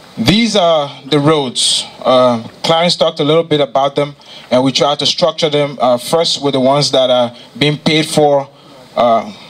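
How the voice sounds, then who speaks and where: A man talks at a moderate pace with ordinary pitch variation. His loudness stays very even. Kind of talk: presentation speech. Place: hall. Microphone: handheld.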